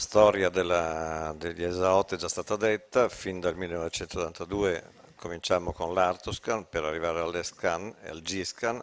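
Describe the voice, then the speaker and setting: Speaking in a very deep, low pitch, a man keeps to a moderate pace. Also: fairly even intonation. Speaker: radiologist, professor. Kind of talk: lecture. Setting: conference.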